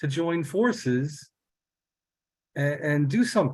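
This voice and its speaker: A man with a New York accent speaks at a very slow pace. His pitch variation is ordinary. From New York City, South Bronx. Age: 60s. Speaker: peace project co-founder. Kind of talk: testimony. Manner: halting, many repetitions and fillers.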